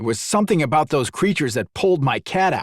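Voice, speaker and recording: In a very clean recording with a silent background, a man puts on a growling character voice with fairly high pitch, speaking at a very fast pace. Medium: read story.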